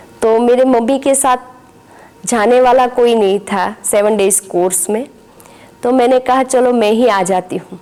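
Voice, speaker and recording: Noticeable background noise sits under the recording. A woman speaks with a fairly high pitch. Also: ordinary pitch variation. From Gujarat, India. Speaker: spiritual teacher. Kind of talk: testimony.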